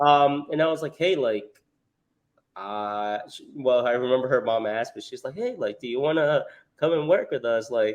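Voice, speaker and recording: Loudness swings widely as the speaker goes at a moderate pace with ordinary pitch variation. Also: man, fairly high pitch for a man. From El Salvador, moved to US at eight. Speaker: restaurant manager. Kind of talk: podcast interview. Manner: hesitant, many fillers.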